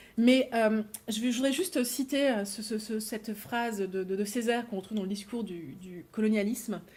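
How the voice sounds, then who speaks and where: With a fairly high pitch, a woman speaks in a somewhat breathy voice. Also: ordinary pitch variation. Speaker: philosophy lecturer. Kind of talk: academic lecture. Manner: fast; hesitant, repeats words.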